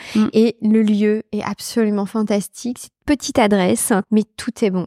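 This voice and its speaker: A woman at a medium pitch and moderate pace, monotone and flat, on a very clean recording with a silent background and a dry, close sound with no echo. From Brittany, France. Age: 40s. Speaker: company executive. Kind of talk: casual interview. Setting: shop.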